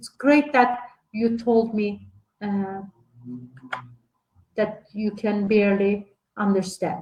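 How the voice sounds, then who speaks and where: A woman speaks very slowly at a medium pitch, her voice somewhat breathy. Her intonation stays fairly even. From Turkey. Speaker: lecturer on early childhood education. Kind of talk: online lecture. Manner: halting, many fillers.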